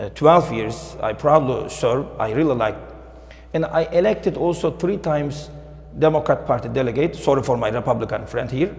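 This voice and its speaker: A speaker with a Turkish accent uses ordinary pitch variation, with audible room echo and noticeable background noise. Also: man, fairly high pitch for a man, moderate pace. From Turkey, Istanbul. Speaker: librarian. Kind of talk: panel talk. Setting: town hall audience.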